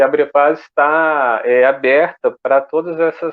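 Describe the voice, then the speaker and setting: A man speaks with a slight Goiás accent. His intonation stays fairly even. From Goiás, Brazil. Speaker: association representative. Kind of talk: online panel debate. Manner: slow.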